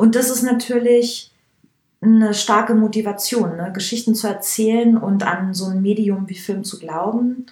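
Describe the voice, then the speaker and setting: A woman uses a plain, everyday voice at a fairly high pitch and a moderate pace. Her intonation stays fairly even, with big swings in loudness. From Upper Bavaria, Germany. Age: 30s. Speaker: hairdresser and make-up artist. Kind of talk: casual interview.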